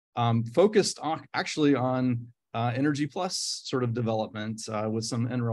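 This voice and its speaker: A man speaks with a Midwestern accent at a medium pitch. The recording is very clean with a silent background. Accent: American Midwestern. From US Midwest, Nebraska. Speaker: professor. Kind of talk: lecture. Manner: hesitant, many fillers.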